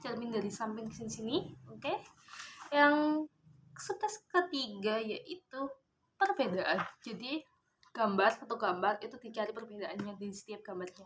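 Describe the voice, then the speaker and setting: Intonation here is lively. The pace is moderate. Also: woman. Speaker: vlogger. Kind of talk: casual vlog monologue.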